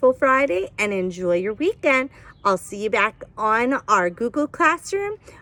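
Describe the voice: A plain reading aloud of text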